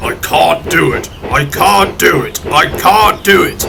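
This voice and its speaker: Clear background noise behind a man's put-on character voice, high-pitched and at a fairly slow pace. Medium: read story.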